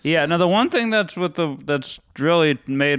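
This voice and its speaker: Here is a man with an ordinary speaking voice. He keeps a moderate pace with ordinary pitch variation. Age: 30s. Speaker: comedian. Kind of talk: casual chat.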